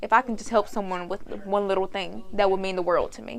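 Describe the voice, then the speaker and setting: A woman at a medium pitch, a fairly quick pace, a very clean recording and a silent background. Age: young. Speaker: vlogger. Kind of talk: casual vlog advice talk. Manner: loud; animated.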